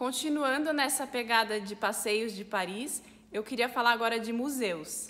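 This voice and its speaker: An ordinary speaking voice: a woman with a fairly high pitch talks at a fairly slow pace with ordinary pitch variation. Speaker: French teacher. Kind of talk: language lesson to camera. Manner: casual, friendly.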